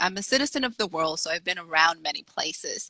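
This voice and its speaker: A woman with a Dominican accent speaks at a fairly quick pace in a bright, sharp tone, her pitch swinging very widely. The sound is dry and close, with no echo. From Dominican Republic, raised in Salem, Massachusetts. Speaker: author. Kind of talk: interview.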